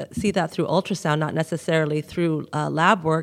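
At a fairly quick pace, a woman speaks at a fairly low pitch in an unremarkable speaking voice. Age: 60s. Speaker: clinical nutritionist. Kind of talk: interview.

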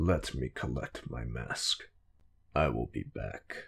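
Growling and rumbling, a man does a put-on character voice in a very deep, low pitch at a fairly slow pace. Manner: curt, cold.

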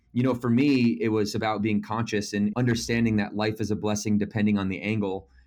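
Talking at a very fast pace with hardly any pauses, a man with a fairly low pitch speaks in an American accent. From Michigan, US Midwest. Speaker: fitness company founder and author. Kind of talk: interview. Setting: remote call. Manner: animated.

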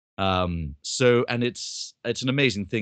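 Ordinary pitch variation in an English accent against a quiet background. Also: man. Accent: received pronunciation, posh English. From London, England. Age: young. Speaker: actor and voice actor. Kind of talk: interview. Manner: well-spoken.

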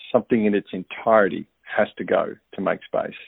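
A man with an Australian accent. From Australia, Melbourne. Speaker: listener sending feedback, parent. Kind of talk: recorded voicemail feedback. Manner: casual, hesitant with fillers.

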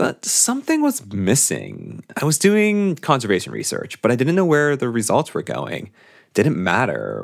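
The recording is very clean, with a silent background, as a man talks at a moderate pace. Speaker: podcast host. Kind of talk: scripted intro, narration. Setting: studio.

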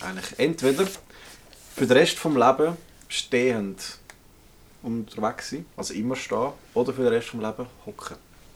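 A man with a Swiss accent speaks at a medium pitch with lively intonation. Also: long, frequent pauses, big swings in loudness. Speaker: podcast co-host. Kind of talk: casual chat. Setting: indoors in a remote cabin.

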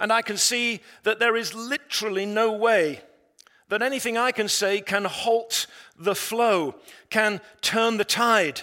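A man's raised, projected voice in an English accent, high-pitched with a bright, sharp tone and fairly even intonation. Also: fairly slow pace. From England. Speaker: pastor. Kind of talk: sermon.

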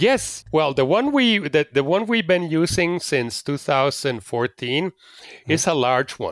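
In a Spanish accent, a man with a fairly high pitch speaks at a very slow pace with lively intonation, the sound dry and close with no echo. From Mexico City. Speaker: nudism advocate. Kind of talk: interview. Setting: video call. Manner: halting.

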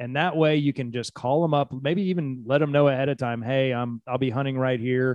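A man with an American accent talks at a fairly quick pace at medium pitch in an ordinary speaking voice. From Houston suburbs, Texas. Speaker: criminal defense attorney, podcast co-host. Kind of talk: casual chat.

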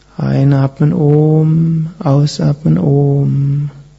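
A calm, soothing tone against noticeable background noise. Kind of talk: guided meditation. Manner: slow, calm, soothing, with long pauses; soft-spoken, gentle, measured.

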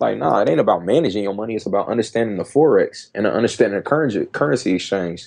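Very fast male speech at a fairly low pitch, with lively intonation, hardly any pauses and a quiet background. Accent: American. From US Midwest, Dayton, Ohio. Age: 20s. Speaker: entrepreneur and speaker. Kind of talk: casual interview chat.

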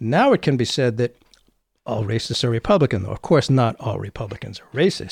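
A somewhat breathy man at medium pitch with an American accent, in a dry, close sound with no echo and a very clean recording with a silent background. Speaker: podcast host. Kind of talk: interview.

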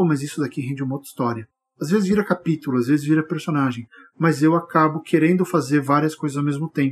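The delivery is very fast. The voice sounds somewhat breathy. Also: man, fairly high pitch for a man. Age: 40s. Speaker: writer and podcast host. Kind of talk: solo podcast monologue. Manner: animated.

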